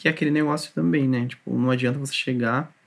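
An ordinary speaking voice comes through with fairly even intonation. The recording is very clean, with a silent background. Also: man. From Brazil, São Paulo area (Taboão da Serra). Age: 20s. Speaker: software quality assurance tester. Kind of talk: casual interview chat.

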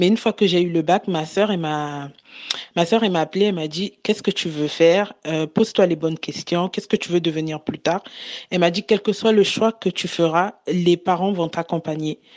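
A woman with a plain, everyday voice speaks at a moderate pace and fairly low pitch, her intonation fairly even. The sound is dry and close with no echo, over a quiet background. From Republic of the Congo. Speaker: transport coordinator. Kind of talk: group discussion.

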